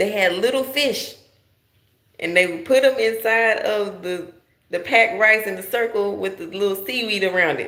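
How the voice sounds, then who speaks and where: With an American accent, the speaker sounds animated, using lively intonation at a moderate pace amid audible room echo. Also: woman. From United States. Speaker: livestream vlogger. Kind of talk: casual livestream monologue. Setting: live stream. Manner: loud.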